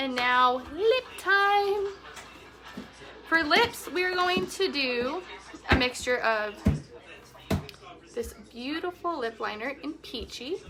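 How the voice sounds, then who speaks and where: Very slowly, a woman speaks in a raised, projected voice with a high pitch and very wide pitch swings. She leaves long, frequent pauses, and music plays in the background. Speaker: makeup tutorial host. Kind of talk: live makeup tutorial.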